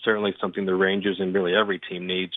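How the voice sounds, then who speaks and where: This is a man's voice. His pitch sits fairly low. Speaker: sports journalist. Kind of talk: phone interview. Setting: phone call.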